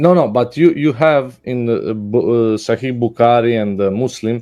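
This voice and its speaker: The voice carries a Serbian accent and a dark, mellow tone. It moves at a moderate pace with ordinary pitch variation. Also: man, medium pitch for a man. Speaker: caller. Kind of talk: heated debate. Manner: halting.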